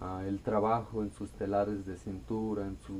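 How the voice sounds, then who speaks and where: Calm and at a moderate pace, a man with an Oaxacan accent speaks in a fairly low pitch with a dark, mellow tone and ordinary pitch variation. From Mexico, Costa Chica of Guerrero (Xochistlahuaca). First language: Amuzgo (speaking Spanish). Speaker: singer-songwriter. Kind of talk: radio interview. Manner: calm, serene.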